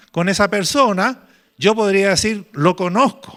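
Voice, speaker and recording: This is a very clean recording against a silent background. The sound is dry and close, without any echo. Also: man. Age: 70s. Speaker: pastor. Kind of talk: sermon. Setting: church retreat with congregation.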